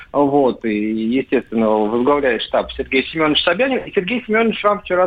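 Pitch swings very widely through speech delivered at a moderate pace. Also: man. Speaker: journalist. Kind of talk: casual chat.

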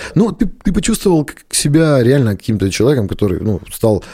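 Against a silent background in a very clean recording, a man speaks at a very fast pace in a somewhat breathy voice with a dark, mellow tone and very wide pitch swings. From rural Russia, village. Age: 30s. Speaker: restaurant and bar owner. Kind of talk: casual interview.

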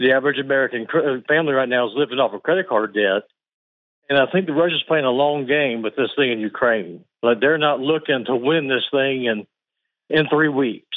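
With a Southern US accent, a man speaks at a medium pitch with ordinary pitch variation. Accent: slow Southern drawl. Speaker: caller. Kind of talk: call-in radio comment.

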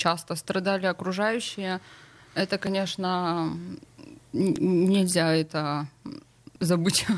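At a very slow pace, a woman speaks at a medium pitch with fairly even intonation, very even loudness and long, frequent pauses. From St Petersburg, Russia. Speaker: blogger, nutrition marathon author. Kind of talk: casual talk show chat. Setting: radio studio.

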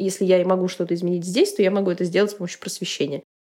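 A woman's dark, mellow tone in a very clean recording against a silent background. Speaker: podcast host. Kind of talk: casual chat.

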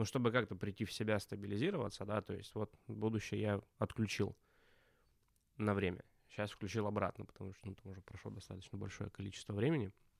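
A man talks very fast in a fairly low pitch with vocal fry, yet leaves long, frequent pauses. His intonation stays fairly even while his loudness swings widely. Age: 30s. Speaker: podcast co-host, brand strategist. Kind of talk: casual chat.

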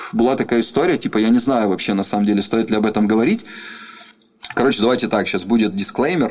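A man speaks at a very fast pace and medium pitch, with ordinary pitch variation and very even loudness, yet long, frequent pauses. Noticeable background noise runs beneath him. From Russia, Rostov-on-Don. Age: 20s. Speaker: rap artist and studio owner. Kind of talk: casual interview. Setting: recording studio.

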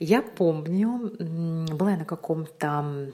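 A woman speaks in a fairly low pitch with ordinary pitch variation. It is an ordinary speaking voice. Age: 30s. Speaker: vlogger. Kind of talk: casual monologue.

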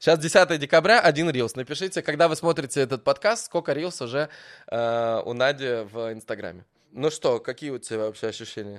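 In a normal speaking voice, a man with a fairly high pitch and lively intonation talks at a moderate pace, the sound dry and close with no echo on a very clean recording with a silent background. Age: 30s. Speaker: podcast host. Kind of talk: casual interview. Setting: hotel in Dubai.

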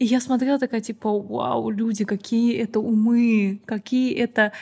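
Fairly high in pitch with ordinary pitch variation, a woman with an ordinary speaking voice talks at a moderate pace. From Azerbaijan. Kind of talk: casual podcast interview.

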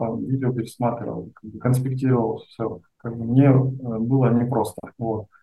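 In a somewhat breathy medium pitch, a man speaks at a moderate pace with fairly even intonation. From Russia, Omsk. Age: 30s. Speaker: online seller. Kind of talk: interview.

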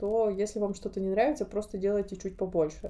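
A woman speaks with a dark, mellow tone. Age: 30s. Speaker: podcast host. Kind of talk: casual solo monologue.

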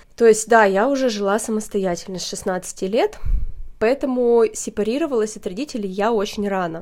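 Delivered at a moderate pace, an unremarkable speaking voice carries ordinary pitch variation. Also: woman, fairly high pitch for a woman. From Russia, Perm region small town. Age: 30s. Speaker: podcast host. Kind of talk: casual chat.

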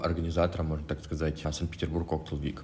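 A man speaks in a somewhat breathy voice. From Russia, Krasnodar. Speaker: head bartender. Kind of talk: casual chat.

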